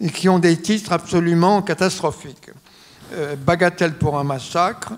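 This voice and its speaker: A man speaks in a high voice at a moderate pace. He leaves long, frequent pauses. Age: 90s. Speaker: lawyer and biographer. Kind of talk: public talk interview. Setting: auditorium with audience. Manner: halting with many hesitations.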